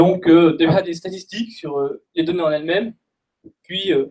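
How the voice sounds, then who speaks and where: Against light background noise, a man with a high pitch speaks at a moderate pace with fairly even intonation. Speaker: data scientist presenter; presenter. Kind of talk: technical talk. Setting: stage with audience. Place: meeting room. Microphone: headset.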